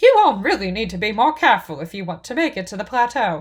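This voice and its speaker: Using a put-on character voice, a woman races along at a very fast pace in a fairly high pitch, with very wide pitch swings and big swings in loudness. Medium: read story. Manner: crisp, matter-of-fact.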